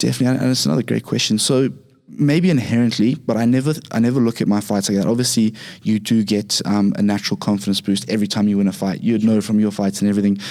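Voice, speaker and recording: With music in the background, a man with a Zimbabwean accent talks at a very fast pace, his fairly low voice held at very even loudness. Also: ordinary pitch variation. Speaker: Muay Thai and MMA fighter. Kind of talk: casual interview.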